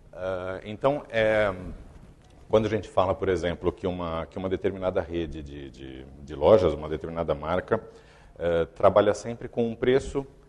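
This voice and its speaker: At a moderate pace, this man speaks with a very deep, low pitch. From Brazil. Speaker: company executive giving a talk. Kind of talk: conference talk. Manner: halting, with fillers and repetitions.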